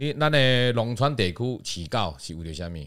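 A man at medium pitch with very wide pitch swings, moderate pace, on a very clean recording with a silent background. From Taiwan, Yilan. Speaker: Taiwanese and English teacher. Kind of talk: casual chat.

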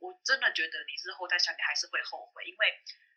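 A woman speaks at a very fast pace. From Taiwan, Taipei. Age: 30s. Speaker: former call center specialist. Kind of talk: casual interview chat.

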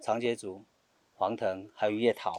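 A man speaks at a fairly slow pace. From Taiwan, Bunun village; raised in Liugui. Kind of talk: interview. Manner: hesitant with many fillers.

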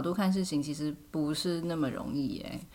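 A woman with lively intonation at a moderate pace, with audible room echo. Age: 30s. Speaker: podcast host. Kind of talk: casual chat.

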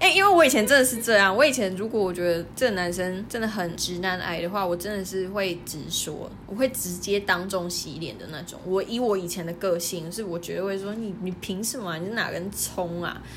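A woman with a southern Taiwanese accent talks at a fairly quick pace with hardly any pauses and ordinary pitch variation, amid noticeable background noise and audible room echo. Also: medium pitch for a woman. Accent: southern Taiwanese Mandarin. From southern Taiwan, near Kenting (Pingtung). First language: Taiwanese Hokkien (speaking Chinese). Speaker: podcast co-host. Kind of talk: casual chat. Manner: animated.

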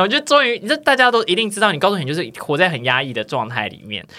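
A man's raised, projected voice, bright and sharp in tone, at a very fast pace. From Taiwan, Tainan. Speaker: podcast host. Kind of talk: casual chat.

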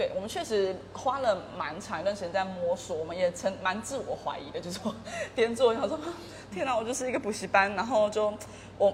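A woman talks at a fairly quick pace with lively intonation. There is noticeable background noise. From Kaohsiung, Taiwan, with British family. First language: English (speaking Chinese). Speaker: education company founder. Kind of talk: casual interview.

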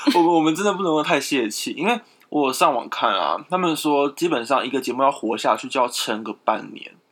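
A man uses an ordinary speaking voice at a fairly high pitch with lively intonation. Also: fairly quick pace. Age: 20s. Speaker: podcast co-host. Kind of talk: casual chat.

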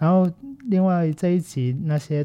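At a fairly slow pace, someone speaks in a Cantonese accent on a very clean recording with a silent background. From Macau. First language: Cantonese (speaking Chinese). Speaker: film podcast host and teacher. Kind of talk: casual solo commentary. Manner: halting, many fillers.

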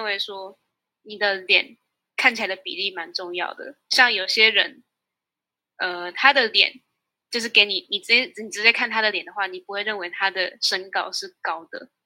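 A woman with a Taiwanese accent, medium pitch, a bright, sharp tone, a moderate pace and big swings in loudness. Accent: Taiwanese Mandarin. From Taiwan (Tainan). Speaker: university student. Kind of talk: interview.

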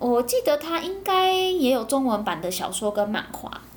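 Her voice pitched high, a woman talks fairly slowly. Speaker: podcast host. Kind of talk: casual monologue, anime review. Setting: home recording.

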